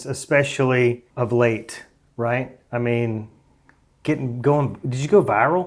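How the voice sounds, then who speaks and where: Speaking very slowly with a Southern US accent, a man has a medium pitch and ordinary pitch variation. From Alabama. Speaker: podcast host. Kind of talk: podcast interview.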